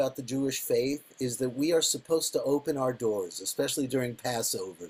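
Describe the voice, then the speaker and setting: His pace is very fast. The voice belongs to a man. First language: Yiddish. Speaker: podcast host and actor. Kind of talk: interview.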